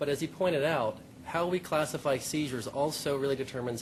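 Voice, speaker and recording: A man's voice at medium pitch. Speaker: pediatric epileptologist. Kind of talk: conference talk. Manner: soft-spoken.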